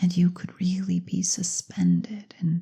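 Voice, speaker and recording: Soft-spoken and somewhat breathy, a woman talks at a very slow pace in a dark, mellow tone of medium pitch, her intonation monotone and flat. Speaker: clinical hypnotherapist. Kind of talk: guided hypnosis session.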